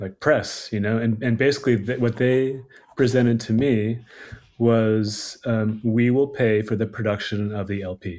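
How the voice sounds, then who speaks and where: Here is an ordinary speaking voice, a man with an American accent and a medium pitch. He keeps a moderate pace and fairly even intonation. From US East Coast, Washington DC. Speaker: record label owner. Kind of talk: casual chat.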